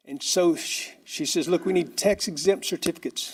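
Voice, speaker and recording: A man's voice with an American accent, vocal fry and ordinary pitch variation. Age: 50s. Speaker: property owner requesting a variance. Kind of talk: public comment at a city board meeting. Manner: halting, repetitive.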